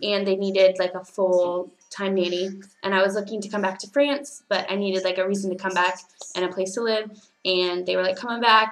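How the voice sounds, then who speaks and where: Speaking with a Californian accent, a woman uses a medium pitch. Her intonation is fairly even and her pace fairly quick. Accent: Californian American English. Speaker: teaching assistant and au pair vlogger. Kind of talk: casual vlog monologue. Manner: hesitant, many fillers.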